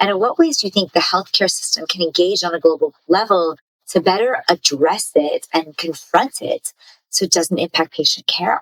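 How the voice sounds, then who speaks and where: A woman's plain, everyday voice, medium in pitch with ordinary pitch variation, at a moderate pace and with a dry, close sound with no echo. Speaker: podcast host. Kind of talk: podcast interview questions.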